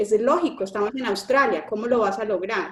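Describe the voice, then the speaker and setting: Speaking at a fairly quick pace, a woman keeps a medium pitch with ordinary pitch variation. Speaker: engineer describing work abroad. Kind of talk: panel interview on live stream. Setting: online live stream. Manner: halting, many repetitions and fillers.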